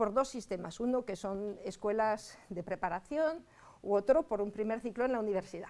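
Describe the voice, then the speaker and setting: A woman speaks at a moderate pace in a fairly high voice. Her tone is dark and mellow, with ordinary pitch variation. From France. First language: French (speaking Spanish). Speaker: agronomist engineer. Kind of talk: masterclass talk to students.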